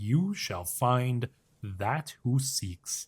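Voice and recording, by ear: A man does a put-on character voice at a medium pitch. The sound is dry and close, with no echo.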